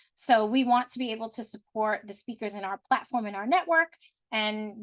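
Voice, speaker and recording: A woman's normal speaking voice, fairly high in pitch with ordinary pitch variation, at a moderate pace, in a dry, close sound with no echo. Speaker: business consultant presenting company offerings. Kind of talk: sales pitch. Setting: video call.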